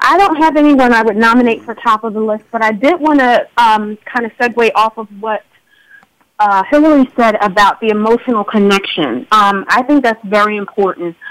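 Her voice is an ordinary speaking voice, fairly high-pitched for a woman, with ordinary pitch variation. The woman talks at a moderate pace. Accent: American. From Philadelphia, US.

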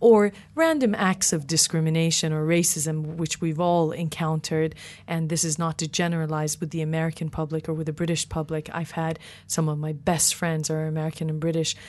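A woman speaks fairly quickly in a very deep, low voice. Her intonation is flat and monotone. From Iranian diaspora, California, Canada, UK. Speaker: cross-cultural psychologist, professor. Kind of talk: interview discussion.

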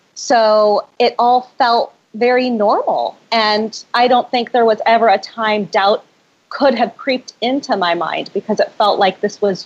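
A woman with a normal speaking voice talks at a fairly high pitch. Her pace is fairly slow and her loudness very even. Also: ordinary pitch variation. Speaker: spirit translator and author. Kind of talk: interview conversation.

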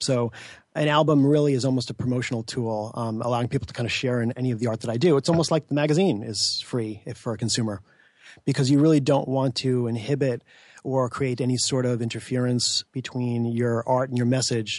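A man with a plain, everyday voice talks at a fairly quick pace and medium pitch. His intonation stays fairly even over a quiet background. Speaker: magazine publisher and musician. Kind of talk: radio interview. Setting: studio.

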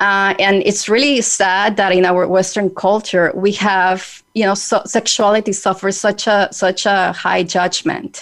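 Medium-pitched female voice in a Spanish accent at a fairly slow pace with hardly any pauses, very even loudness and fairly even intonation. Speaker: radio host. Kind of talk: radio interview. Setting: radio studio show.

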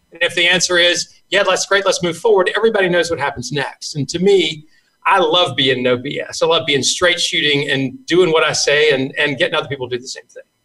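With a Southern US accent, a man talks fairly quickly in a high, bright, sharp voice with ordinary pitch variation. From US South Carolina. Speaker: sales trainer. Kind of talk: casual interview chat.

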